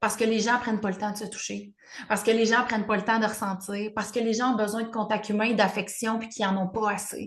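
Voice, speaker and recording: A woman with a Quebec accent speaks at a very fast pace. Her fairly high voice stays monotone and flat. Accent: Québécois French. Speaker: podcast co-host, spiritual coach. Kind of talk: casual chat. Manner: loud.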